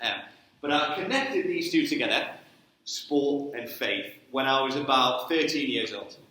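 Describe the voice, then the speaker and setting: Over noticeable background noise and audible room echo, a man with a Geordie accent talks at a moderate pace, his fairly high pitch showing ordinary variation. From northern England, Newcastle. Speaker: sports ministry trainer. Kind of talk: church talk. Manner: casual, conversational.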